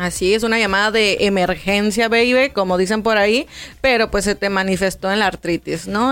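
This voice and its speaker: At a moderate pace, a woman speaks in a plain, everyday voice, medium in pitch with fairly even intonation. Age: 30s. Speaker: nutritionist. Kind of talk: interview.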